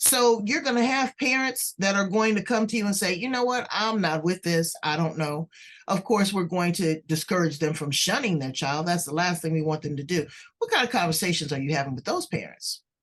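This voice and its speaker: Her pitch swinging very widely around a medium level, a woman speaks at a fairly quick pace. She has an American accent. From US West Coast, South Central Los Angeles. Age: 60s. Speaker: podcast host. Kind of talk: interview podcast.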